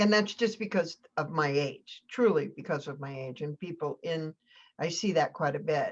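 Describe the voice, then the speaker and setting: A plain, everyday voice with lively intonation at a fairly slow pace, over a quiet background. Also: woman. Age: 60s. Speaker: rural revitalization consultant. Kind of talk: casual podcast discussion.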